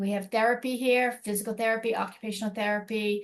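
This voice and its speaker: Against a quiet background, a woman talks at a fairly high pitch and a fairly quick pace with monotone, flat intonation. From US Northeast, Boston. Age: 60s. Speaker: elder care program representative. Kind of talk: informational presentation. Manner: fast.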